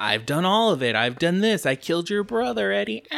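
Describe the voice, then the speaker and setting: Using a put-on character voice, a man talks at a fairly quick pace in a fairly high pitch with very wide pitch swings. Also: very even loudness. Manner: menacing, boastful.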